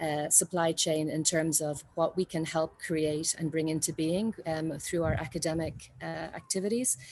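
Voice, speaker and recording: With an Irish accent, a woman talks at a moderate pace in a fairly low pitch, her dark, mellow tone carrying fairly even intonation. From Ireland. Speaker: university design representative. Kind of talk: conference talk. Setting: video call from a balcony. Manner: halting, many fillers.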